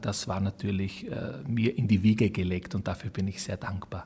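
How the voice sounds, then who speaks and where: In a somewhat breathy voice, a man speaks at a moderate pace. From Burgenland, Austria (Croatian minority). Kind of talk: interview.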